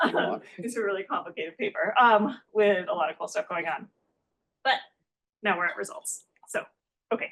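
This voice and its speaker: A woman talks at a medium pitch with ordinary pitch variation. She leaves long, frequent pauses. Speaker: economics researcher, conference discussant. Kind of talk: academic conference presentation. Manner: fast; hesitant, many fillers.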